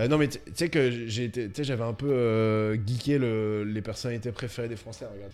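Music plays behind a man who speaks at medium pitch and a fairly slow pace, with fairly even intonation and hardly any pauses. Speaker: podcast co-host. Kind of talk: casual chat.

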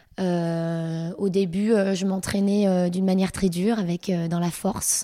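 This woman's dark, mellow tone stays monotone and flat, captured in a very clean recording against a silent background. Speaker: fitness coach. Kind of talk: interview.

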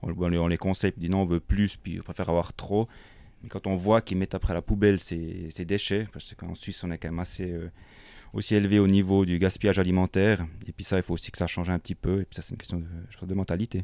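In a very clean recording with a silent background, a man with a very deep, low pitch and a dark, mellow tone speaks at a very fast pace with monotone, flat intonation. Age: 30s. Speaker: butcher. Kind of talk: interview. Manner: halting.

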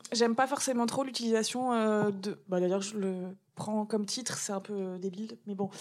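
Fairly high-pitched woman's voice with fairly even intonation over noticeable background noise. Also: moderate pace. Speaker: comic book author and cancer survivor. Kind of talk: interview testimony.

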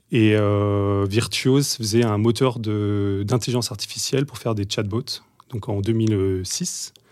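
A man talks very slowly in a very clean recording where the background is silent. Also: fairly low pitch for a man. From western France, Deux-Sèvres and Bordeaux. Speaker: tech product executive. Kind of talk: podcast interview. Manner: hesitant with many fillers and repetitions.

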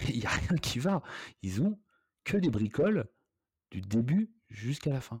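A man's somewhat breathy voice at medium pitch, very wide pitch swings, fairly slow pace and long, frequent pauses, on a very clean recording with a silent background. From Brittany (Rennes, Saint-Malo). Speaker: hotel entrepreneur. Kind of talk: casual interview. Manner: halting, many fillers.

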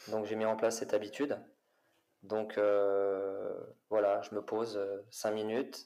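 A man talks at a moderate pace in a dark, mellow tone. His intonation is monotone and flat. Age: 40s. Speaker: fitness coach and former footballer. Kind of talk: casual interview. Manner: hesitant with repetitions.

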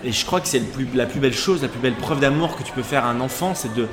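A man talks very fast with ordinary pitch variation, while background noise is noticeable and room echo can be heard. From western France, Charente-Maritime. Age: 30s. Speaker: TV casting director. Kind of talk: casual chat.

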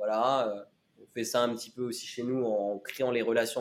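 Here is a man with a normal speaking voice. He talks at a moderate pace with a medium pitch. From western France (Laval, Mayenne). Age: 20s. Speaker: community manager for an entrepreneurs' club. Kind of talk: podcast interview.

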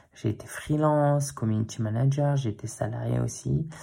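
Somewhat breathy, a man's medium-pitched voice has a dark, mellow tone. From Paris, Belleville. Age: 30s. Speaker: podcast host, new father. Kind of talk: personal monologue. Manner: hesitant, many fillers.

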